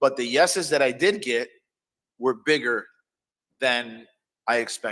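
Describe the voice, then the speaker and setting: A man's bright, sharp tone at a fairly slow pace, broken by long, frequent pauses. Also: medium pitch for a man, ordinary pitch variation. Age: 50s. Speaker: comedian and producer. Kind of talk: casual chat. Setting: live stream. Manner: halting.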